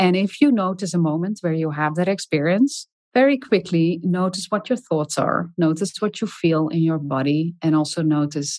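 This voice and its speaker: In a dry, close sound with no echo, a woman with a fairly low pitch and a dark, mellow, calm tone speaks at a moderate pace with ordinary pitch variation. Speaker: health and leadership researcher, author. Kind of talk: interview.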